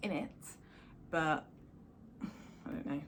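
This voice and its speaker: A woman talks in a somewhat breathy voice. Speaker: houseplant youtuber. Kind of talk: casual video tour. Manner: fast; animated.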